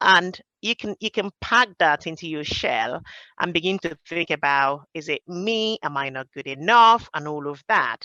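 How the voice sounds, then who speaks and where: A bright, sharp tone in a Nigerian accent, fairly slow and lively in intonation, dry and close with no echo against a quiet background. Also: woman, fairly low pitch for a woman. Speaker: project professional. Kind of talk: roundtable discussion. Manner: hesitant, with fillers.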